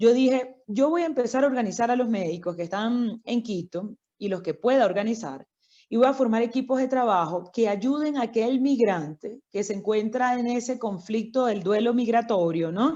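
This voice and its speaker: Against a quiet background, a woman with a fairly high pitch speaks in a dark, mellow tone with lively intonation. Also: moderate pace. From Venezuela, Miranda state (Barlovento). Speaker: doctor. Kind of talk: interview.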